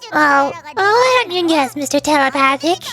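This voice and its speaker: Over clear background noise, a woman uses a put-on character voice, pitched high, at a moderate pace. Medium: virtual streamer. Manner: bright, eager, inquisitive.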